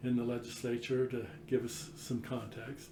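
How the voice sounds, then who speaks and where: In a flat, monotone delivery, a man of medium pitch speaks amid noticeable background noise and audible room echo. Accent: American. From Utah. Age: 60s. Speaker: state legislator. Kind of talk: interview.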